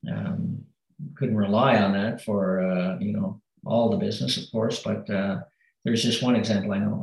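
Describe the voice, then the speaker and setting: A man speaks at a moderate pace in a fairly low voice. His pitch moves in an ordinary way, with vocal fry. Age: 50s. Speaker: retired navy officer and aspiring business owner. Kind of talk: advice call. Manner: hesitant, many fillers.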